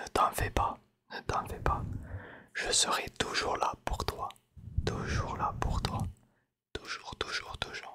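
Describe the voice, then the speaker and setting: Whispering at a very slow pace with long, frequent pauses, the voice carries a soothing tone. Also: man. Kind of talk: ASMR roleplay, hair-styling. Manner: whispered, soft, soothing.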